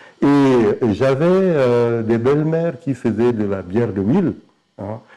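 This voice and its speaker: A man's dark, mellow tone with very wide pitch swings, delivered at a very slow pace. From Chad. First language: Sara Ngambay (speaking French). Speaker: novelist. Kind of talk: interview. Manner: halting, many repetitions.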